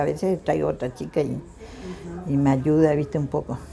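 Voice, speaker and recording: A woman with ordinary pitch variation, with noticeable background noise. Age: 60s. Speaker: home cook and market vendor. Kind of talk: casual interview talk.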